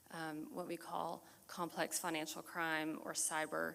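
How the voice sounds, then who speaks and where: Soft-spoken and fairly low-pitched, a woman with a bright, sharp tone and some vocal fry talks in an American accent. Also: very clean recording, silent background. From Texas. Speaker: forensic accountant giving a talk. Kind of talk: community presentation.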